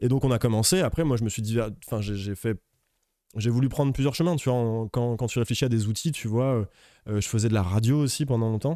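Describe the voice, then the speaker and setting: A man talks at a fairly quick pace in a dark, mellow tone. The sound is dry with no echo, over a quiet background. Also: medium pitch for a man, ordinary pitch variation. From France, Lyon; France. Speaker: music manager; guest. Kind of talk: casual interview chat. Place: studio. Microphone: studio mic.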